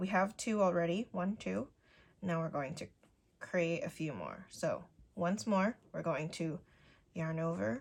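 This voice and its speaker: A woman speaks with vocal fry at a fairly low pitch, her intonation lively and her pauses long and frequent. The recording is very clean, with a silent background. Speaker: crochet tutorial creator. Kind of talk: tutorial.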